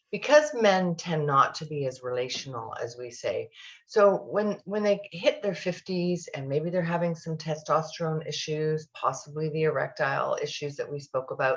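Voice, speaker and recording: Her voice is somewhat breathy and fairly low for a woman, with ordinary pitch variation. The woman speaks with hardly any pauses. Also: moderate pace. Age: 60s. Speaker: sex therapist. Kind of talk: podcast interview.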